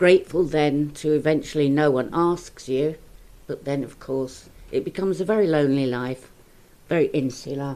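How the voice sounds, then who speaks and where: A woman talks with a very deep, low pitch and a dark, mellow tone. Her pitch variation is ordinary. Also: moderate pace. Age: 70s. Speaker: person in recovery from eating disorder. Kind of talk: podcast discussion.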